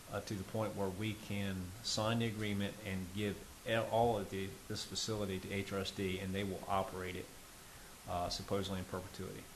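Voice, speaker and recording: A man talks at a fairly quick pace with fairly low pitch. His intonation stays flat and monotone, and the room echo is audible. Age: 60s. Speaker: local government official. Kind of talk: public meeting remarks. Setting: town planning commission meeting. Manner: halting with fillers.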